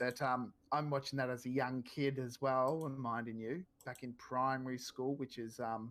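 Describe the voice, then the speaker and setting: A man with an Australian accent speaks in a medium pitch and a flat monotone. His pace is moderate, with hardly any pauses. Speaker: gaming streamer. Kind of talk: casual chat.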